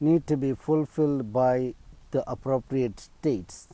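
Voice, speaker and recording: This man has a medium pitch and a dark, mellow tone. He speaks very slowly. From India, Kerala. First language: Malayalam. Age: 50s. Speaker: video blogger. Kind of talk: personal appeal monologue. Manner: hesitant, many fillers.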